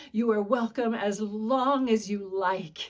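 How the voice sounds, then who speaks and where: A woman's put-on, whiny character voice, fairly high in pitch, fairly slow and fairly even in intonation. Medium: read story.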